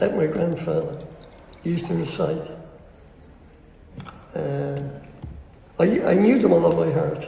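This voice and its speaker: Long pauses occur frequently. Overall the delivery is very slow. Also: man. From Dublin, Ireland. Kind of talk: interview answer.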